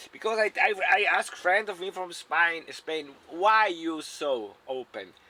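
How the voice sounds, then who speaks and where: A man's high-pitched voice at a fairly slow pace with lively intonation, over noticeable background noise. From South Tyrol, Italy. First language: German. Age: 60s. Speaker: retired van dweller. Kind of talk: casual interview. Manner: halting, non-native English.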